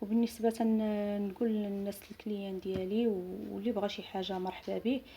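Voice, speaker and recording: A somewhat breathy woman's voice in a Moroccan accent, fairly high in pitch with a dark, mellow tone, ordinary pitch variation and a moderate pace. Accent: Moroccan Arabic (Darija). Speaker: seamstress. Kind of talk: product showcase. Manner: halting.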